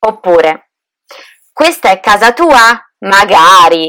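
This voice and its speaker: The pace is very slow and the intonation lively. The tone is bright and sharp. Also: woman. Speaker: Italian language teacher, podcast co-host. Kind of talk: scripted language lesson. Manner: clear, didactic.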